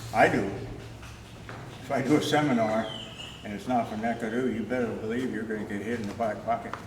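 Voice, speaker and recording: Amid audible room echo and noticeable background noise, a man talks at a very fast pace with long, frequent pauses, a medium pitch and monotone, flat intonation. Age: 80s+. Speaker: martial arts instructor. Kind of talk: informal talk to a class or audience. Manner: halting, with fillers.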